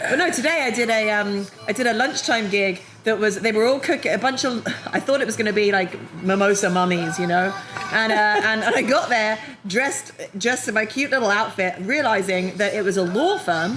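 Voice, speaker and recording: Speech in a strong British accent has lively intonation and very even loudness. Noticeable background noise and audible room echo are present. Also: woman, fairly high pitch for a woman, fairly quick pace. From London, England. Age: middle-aged. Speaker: comedian. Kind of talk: casual chat. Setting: brewery taproom. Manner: animated.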